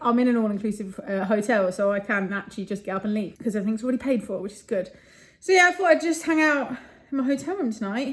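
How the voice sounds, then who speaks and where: At a very fast pace, a woman speaks in a somewhat breathy voice with fairly high pitch. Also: lively intonation. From London, England. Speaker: property entrepreneur vlogger. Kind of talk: casual vlog to camera. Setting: hotel room.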